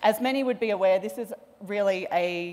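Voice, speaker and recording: A woman with an Australian accent and ordinary pitch variation. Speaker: panel moderator, policy researcher; panel moderator. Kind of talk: panel moderation. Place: hall. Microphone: podium.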